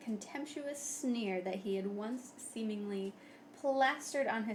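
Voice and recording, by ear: The pitch moves up and down in an ordinary way. The voice reads aloud naturally.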